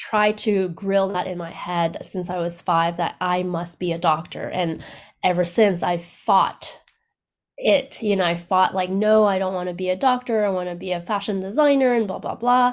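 A woman speaks with a plain, everyday voice at a medium pitch and moderate pace, with ordinary pitch variation. The recording is very clean, with a silent background. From Canada. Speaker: business owner and astrologer. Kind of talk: casual chat.

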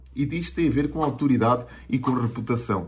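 A man talks with a European Portuguese accent. He keeps a moderate pace in a somewhat breathy voice. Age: 40s. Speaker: digital marketing coach. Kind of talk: video monologue tutorial.

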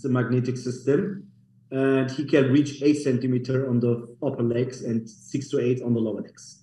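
A man's somewhat breathy voice, medium in pitch, with a dark, mellow tone. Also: fairly even intonation, moderate pace. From Germany, Munich. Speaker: clinic co-founder. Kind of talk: interview.

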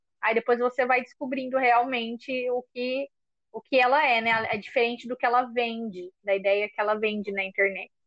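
In a coastal São Paulo accent, a woman with a high pitch speaks at a moderate pace with fairly even intonation. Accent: coastal São Paulo (caiçara). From São Paulo coast (caiçara). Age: 20s. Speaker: podcast co-host, schoolteacher. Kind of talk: casual chat.

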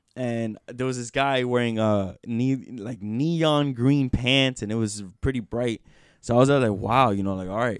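A plain, everyday voice, a man at medium pitch with fairly even intonation and moderate pace, in a very clean recording with a silent background. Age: 20s. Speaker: podcast host. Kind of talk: casual chat. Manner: rambling, filler-heavy.

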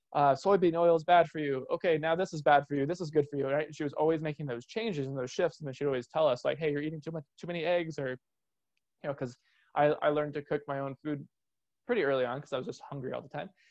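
A man's very fast speech at a fairly high pitch. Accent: Californian. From Southern California, San Diego. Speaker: podcast host, personal trainer and nutrition coach. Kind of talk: personal story monologue.

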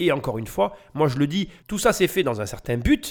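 On a very clean recording with a silent background, a male speaker talks in an animated tone. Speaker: real estate podcaster and coach. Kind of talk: commentary on a TV report.

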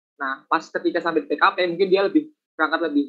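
The speaker has a strong Javanese accent and lively intonation. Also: man. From Central Java, Banjarnegara. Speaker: university student. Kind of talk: casual chat.

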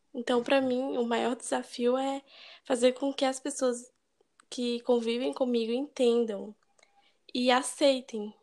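A woman's high-pitched voice, flat and monotone, with long, frequent pauses. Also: fairly slow pace, very clean recording, silent background. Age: 20s. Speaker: engineering student. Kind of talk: casual chat.

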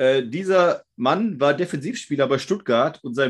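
A man's pitch swings very widely while he talks at a moderate pace. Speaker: quiz podcast host. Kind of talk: quiz show. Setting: video call.

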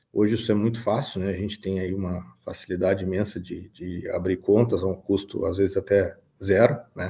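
At a moderate pace with hardly any pauses, a man speaks at fairly low pitch in a monotone, flat intonation, his dark, mellow tone somewhat breathy. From southern Brazil, Rio Grande do Sul (São Gabriel). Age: 30s. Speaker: farm manager and financial consultant. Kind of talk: interview.

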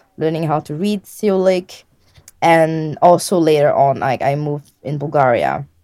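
A woman with a French accent, a fairly low pitch, a dark, mellow tone, ordinary pitch variation and a moderate pace. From Réunion Island. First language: French and Réunion Creole. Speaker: language learner. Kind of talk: interview. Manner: halting.

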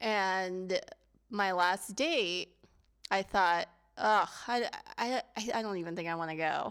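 Speaking very slowly with long, frequent pauses, a woman uses a medium pitch and ordinary pitch variation in a very clean recording with a silent background. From US, Filipino immigrant family. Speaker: podcast co-host. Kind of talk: casual chat.

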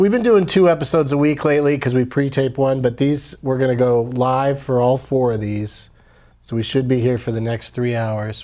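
A man talks fairly quickly in a normal speaking voice, medium in pitch with ordinary pitch variation. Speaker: comedian and podcast host. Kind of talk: casual chat.

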